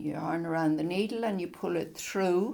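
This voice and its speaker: A woman at a medium pitch speaks with vocal fry and ordinary pitch variation. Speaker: crochet teacher. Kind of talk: tutorial. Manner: slow.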